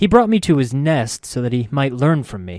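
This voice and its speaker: In a very clean recording with a silent background, a man puts on a character voice at a medium pitch and a moderate pace, with hissing. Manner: disgusted, acrid.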